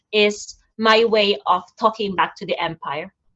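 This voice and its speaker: Speaking fairly slowly, a woman with a Filipino accent uses a fairly high pitch. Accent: Filipino accent, non-native English. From Philippines. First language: Tagalog. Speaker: nurse and poet. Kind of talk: conversation at an online event. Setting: online event. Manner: halting, with repetitions and fillers.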